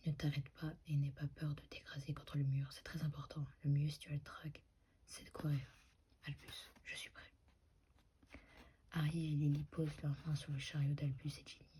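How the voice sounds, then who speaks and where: The speech is soft-spoken and fairly slow, with long, frequent pauses. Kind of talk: ASMR dramatic reading of dialogue lines. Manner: soft-spoken, slightly inaudible.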